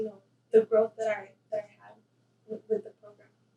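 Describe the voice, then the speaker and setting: In a monotone, flat intonation, a woman with a fairly high pitch and a dark, mellow tone speaks at a very fast pace. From El Paso / Ciudad Juárez border region. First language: Spanish. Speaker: university student. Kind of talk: interview.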